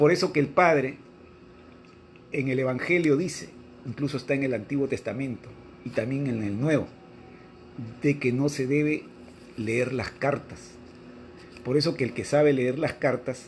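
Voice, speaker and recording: With long, frequent pauses and ordinary pitch variation, a man talks over noticeable background noise. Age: 60s. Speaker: religious teacher. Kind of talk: religious reading and commentary.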